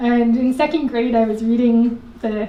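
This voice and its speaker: The woman's fairly high voice moves at a fairly slow pace in a monotone, flat intonation. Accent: American. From Richmond Hill, Queens, New York City. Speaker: socially engaged artist, educator. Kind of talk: live storytelling performance. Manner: casual, conversational.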